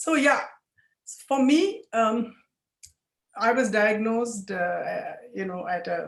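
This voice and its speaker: A woman's voice with lively intonation, a very slow pace, and long, frequent pauses. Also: fairly high pitch for a woman. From India. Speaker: lawyer and cancer survivor. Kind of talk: testimony.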